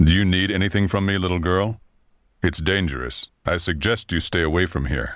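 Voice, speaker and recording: A man puts on a character voice in a very deep, low pitch. He moves at a moderate pace. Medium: video game. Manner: formal, measured.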